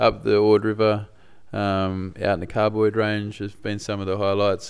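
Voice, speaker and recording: Speaking with an Australian accent, a man uses a fairly low pitch, a moderate pace and monotone, flat intonation. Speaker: podcast host. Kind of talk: casual chat.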